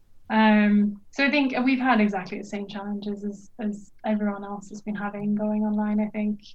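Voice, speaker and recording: A woman's somewhat breathy voice at a medium pitch and moderate pace, monotone and flat, with big swings in loudness. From Norway. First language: Norwegian. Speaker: archaeologist and PhD student. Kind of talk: casual interview chat. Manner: hesitant with many fillers.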